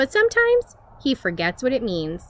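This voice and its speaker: Using a put-on character voice with a high pitch and a warm, gentle tone, a woman talks at a moderate pace in a dry, close sound with no echo. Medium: read story.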